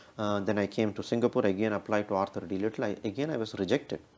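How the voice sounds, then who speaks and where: The speaker talks at a very fast pace. A strong Indian accent comes through. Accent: heavy Indian. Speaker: business executive. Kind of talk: interview. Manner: halting.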